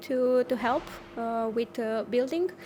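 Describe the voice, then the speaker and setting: This woman has a high pitch and a Romanian accent. She talks at a fairly slow pace, with ordinary pitch variation. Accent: Romanian-accented English, non-native. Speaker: offshore wind engineer. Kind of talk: interview. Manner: halting, many fillers.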